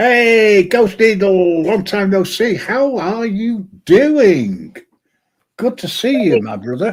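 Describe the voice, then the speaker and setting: A man's high voice in a British accent at a very slow pace, with ordinary pitch variation. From UK. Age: old. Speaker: live stream host. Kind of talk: casual chat.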